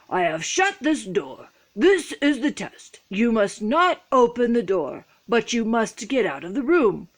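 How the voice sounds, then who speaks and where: A woman puts on a character voice at a fairly high pitch, swinging very widely up and down. She talks at a fairly slow pace with hardly any pauses. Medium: read story.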